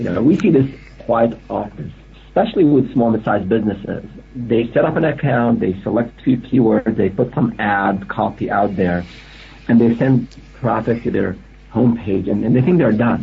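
Noticeable background noise under a man's voice, medium in pitch, at a moderate pace and with ordinary pitch variation. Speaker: analytics expert.

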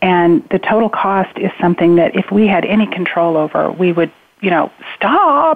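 Noticeable background noise sits under a woman's fairly low voice, which carries an American accent. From Spokane, Washington. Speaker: adoption professional. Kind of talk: interview. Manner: halting.

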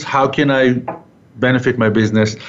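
A man at a medium pitch and a fairly slow pace, with audible room echo and noticeable background noise. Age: old. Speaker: radio host; real estate business owner. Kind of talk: radio interview. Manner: halting, many fillers.

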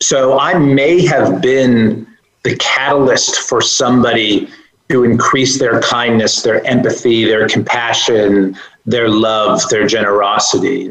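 An unremarkable speaking voice from a man, medium in pitch, with ordinary pitch variation and very even loudness. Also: fairly slow pace. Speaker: self-development course creator. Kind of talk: inspirational interview. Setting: remote call.

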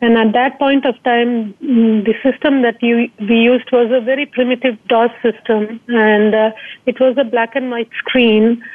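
A woman speaks in a monotone, flat intonation at a fairly high pitch. Her loudness stays very even and her pace is fairly slow. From India, Trivandrum (Kerala). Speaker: company founder. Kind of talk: interview. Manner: halting, many fillers.

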